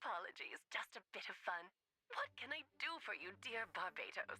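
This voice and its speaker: A put-on character voice in a theatrical tone at a moderate pace. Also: female-sounding voice, fairly high pitch for a woman. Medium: video game. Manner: teasing, theatrical.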